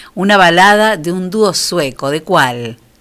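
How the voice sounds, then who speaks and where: A woman with a fairly low pitch speaks very slowly, her intonation lively. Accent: Rioplatense. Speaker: radio host. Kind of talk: radio show, casual chat and announcements.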